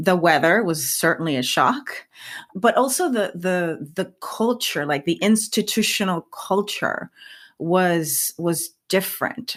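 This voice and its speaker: Speaking at a very slow pace with a Spanish accent, a woman uses lively intonation at a medium pitch. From rural Puerto Rico. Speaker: scientist and science communicator. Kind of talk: interview. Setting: podcast.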